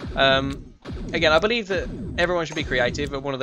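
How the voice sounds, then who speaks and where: With music in the background, the speaker uses lively intonation in an English accent. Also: man. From England. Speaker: gaming streamer. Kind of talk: gameplay commentary with casual chat. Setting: live stream. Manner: calm, collected; hesitant, many fillers.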